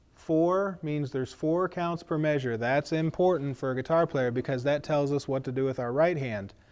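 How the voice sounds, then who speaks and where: A man's plain, everyday voice, fairly high in pitch, at a moderate pace with ordinary pitch variation. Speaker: guitar teacher and hymn leader. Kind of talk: tutorial. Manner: casual, many fillers.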